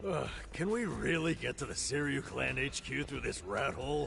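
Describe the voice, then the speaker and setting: Over loud background noise, a man does a put-on character voice at a moderate pace and a fairly high pitch. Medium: video game. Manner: grumbling, whiny.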